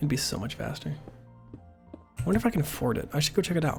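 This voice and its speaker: With music in the background, a man's pitch swings very widely as he speaks. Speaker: ASMR streamer. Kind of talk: casual gaming stream commentary.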